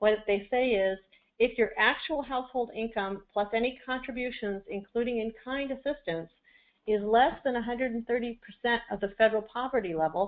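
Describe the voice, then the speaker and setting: A woman's plain, everyday voice, fairly high in pitch, at a fairly quick pace with ordinary pitch variation. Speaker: benefits policy expert presenter. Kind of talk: webinar presentation. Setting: webinar audio broadcast.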